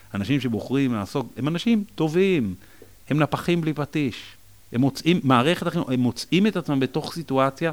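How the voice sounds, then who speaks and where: A man in a normal speaking voice with lively intonation. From Israel, Jerusalem. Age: 40s. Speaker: school principal. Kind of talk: interview conversation.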